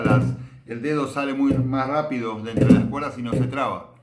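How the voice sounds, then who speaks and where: Audible room echo surrounds a man who speaks with fairly even intonation. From Argentina. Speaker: bass teacher. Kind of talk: tutorial. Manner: hesitant, many filler sounds.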